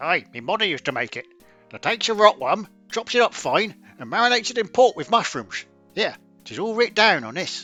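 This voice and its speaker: Putting on a character voice, a man speaks high in pitch at a fairly quick pace while faint music plays in the background. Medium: solo performance. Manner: casual, folksy.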